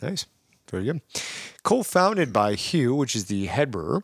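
A man speaks at a moderate pace with very wide pitch swings. The sound is dry and close, with no echo. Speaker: podcast host. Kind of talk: casual chat. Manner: talkative, jokey.

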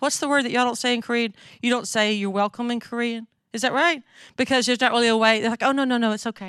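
In a strong Southern US accent, a woman talks at a very fast pace and a high pitch with fairly even intonation, on a very clean recording with a silent background. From North Mississippi, US South. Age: 50s. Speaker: missionary speaker. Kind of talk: sermon. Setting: church.

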